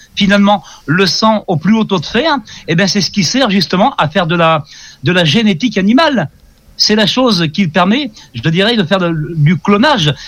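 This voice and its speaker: This man's voice is high-pitched, with lively intonation. He talks at a fairly quick pace. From France. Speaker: ufologist. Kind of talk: interview.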